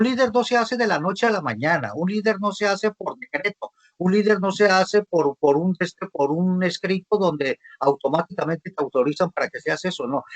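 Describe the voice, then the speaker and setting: The man's voice is high in pitch. The sound is dry and close, with no echo. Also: lively intonation, fairly quick pace. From Mexico, Sinaloa. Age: 60s. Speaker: visual artist and arts coordinator. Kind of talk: panel talk.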